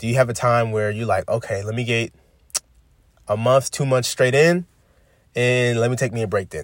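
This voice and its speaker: A man's medium-pitched voice moves at a moderate speed with fairly even intonation. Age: 20s. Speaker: podcast host. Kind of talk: motivational monologue. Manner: casual, conversational.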